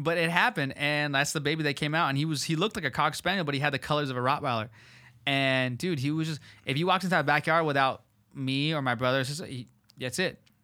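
The speaker has an American accent and a bright, sharp tone at a very fast pace. The recording is very clean, with a silent background. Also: man, fairly high pitch for a man, ordinary pitch variation. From Southern California. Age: 20s. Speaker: podcast host. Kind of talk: casual chat. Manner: animated.

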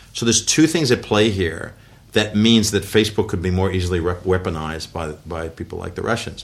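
In an American accent, a man with a very deep, low pitch talks at a fairly quick pace with ordinary pitch variation. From US, western New York (Buffalo area). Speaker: former tech executive and business advisor. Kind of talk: interview. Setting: office.

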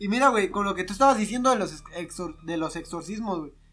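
The man talks with lively intonation and a high pitch, keeping a moderate pace. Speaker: podcast co-host. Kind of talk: casual comedic chat.

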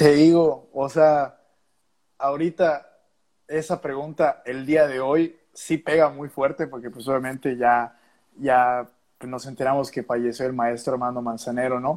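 At a fairly slow pace, a man with a medium pitch talks with fairly even intonation. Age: 20s. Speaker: musician. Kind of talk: casual chat. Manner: halting, many repetitions.

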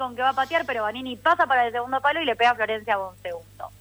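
A woman speaks with a high pitch. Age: 30s. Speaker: football pundit. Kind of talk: casual chat.

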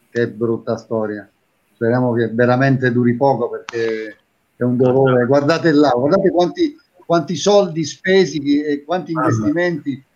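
A man talks at a moderate pace in a plain, everyday voice, fairly high in pitch and with ordinary pitch variation. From Taranto, Apulia, southern Italy. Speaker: TV and radio presenter, impressionist. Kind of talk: casual chat.

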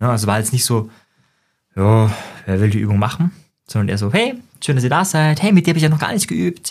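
The speech comes at a very fast pace. The voice is somewhat breathy. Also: man. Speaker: psychologist and NLP trainer podcast host. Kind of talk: solo monologue podcast.

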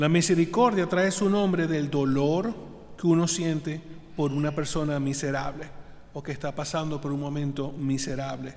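This man's voice sits at a fairly high pitch. He talks at a fairly slow pace. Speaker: deacon. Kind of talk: homily. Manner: earnest, instructive.

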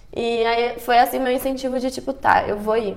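A woman with a high voice speaks fairly slowly in a flat, monotone way. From Brazil. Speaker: entrepreneur, former exchange student. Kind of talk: casual interview.

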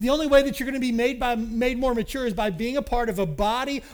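In a very clean recording with a silent background, a man with an American accent talks at a fairly quick pace and an extremely high pitch, with ordinary pitch variation. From Kentucky, US. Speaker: pastor. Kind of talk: sermon.

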